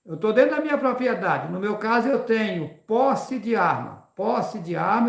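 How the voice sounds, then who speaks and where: With audible room echo, a man talks at a moderate pace in a high pitch. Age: 60s. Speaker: religious preacher and rancher. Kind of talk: live religious talk.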